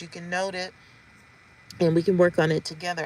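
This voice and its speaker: A woman talks at a fairly quick pace in a plain, everyday voice with a fairly low pitch. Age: 50s. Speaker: vlogger. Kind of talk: casual vlog update.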